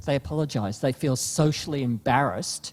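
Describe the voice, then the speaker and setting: Speaking at a fairly slow pace, a man talks with an Australian accent. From Australia (Melbourne). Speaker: panelist, consumer behaviour researcher. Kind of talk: panel discussion.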